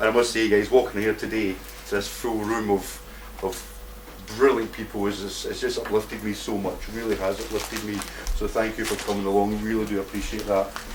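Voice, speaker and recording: A man with a Scottish accent speaks at a fairly quick pace amid noticeable background noise and audible room echo. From Scotland. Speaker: activist speaker. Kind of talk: conference talk. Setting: stage with audience. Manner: animated.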